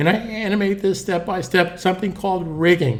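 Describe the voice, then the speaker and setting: Room echo is audible as a man with a high voice speaks with fairly even intonation. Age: 60s. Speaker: animation tutor. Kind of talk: tutorial. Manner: casual, conversational.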